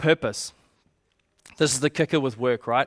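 Delivered at a fairly quick pace with a New Zealand accent. The recording is very clean with a silent background, and the sound is dry and close with no echo. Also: man. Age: 20s. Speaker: youth pastor. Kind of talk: sermon. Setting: church.

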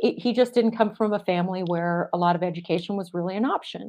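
Here a woman uses a normal speaking voice at medium pitch with ordinary pitch variation. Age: 50s. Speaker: psychologist and dating coach. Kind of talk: interview.

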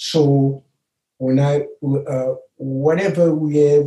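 The man's voice is fairly high-pitched and somewhat breathy, with a dark, mellow tone. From Haiti. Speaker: retired immigrant father. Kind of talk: family interview. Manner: halting.

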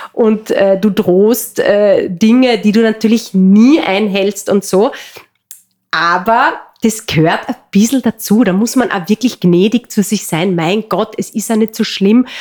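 A woman with a Carinthian accent speaks very slowly in a fairly high voice, her pitch varying in an ordinary way. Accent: Carinthian Austrian German. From Austria, Carinthia. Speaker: entrepreneur and mother. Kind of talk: casual interview. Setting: in person at guest's home region. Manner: hesitant, many fillers.

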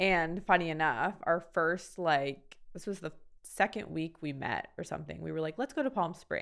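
Vocal fry at a moderate pace on a very clean recording with a silent background. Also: woman, fairly low pitch for a woman, ordinary pitch variation. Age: 30s. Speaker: makeup artist and designer. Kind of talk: casual chat.

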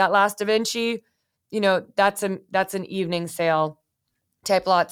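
A woman speaks at a moderate pace with an American accent, her pitch medium and her intonation fairly even. The recording is very clean, with a silent background. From US West Coast, San Francisco Bay Area. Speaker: art acquisitions executive. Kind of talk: interview.

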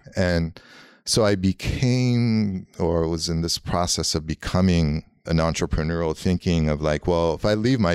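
Over a very clean recording with a silent background, a man with an Armenian accent talks at a fairly slow pace in a very deep, low pitch with ordinary pitch variation. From Los Angeles. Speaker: graffiti artist. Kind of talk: casual chat.

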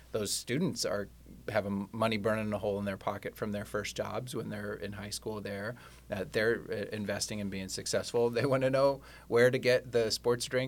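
A man with an American accent and a plain, everyday voice talks at a moderate pace with fairly even intonation on a very clean recording with a silent background. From US Midwest, Kansas City. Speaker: company CEO. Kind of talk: interview.

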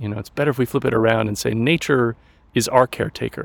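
A man with an American accent speaks at a fairly quick pace in a medium pitch, his intonation fairly even. There's vocal fry, and the sound is dry and close with no echo. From US, Colorado mountains. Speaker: social scientist and educator. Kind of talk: casual interview. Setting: outdoors in a park.

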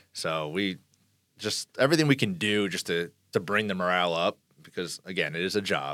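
A bright, sharp tone with ordinary pitch variation, on a very clean recording with a silent background. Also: man. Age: 40s. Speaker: pressure washing business owner and Navy reservist. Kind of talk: interview conversation.

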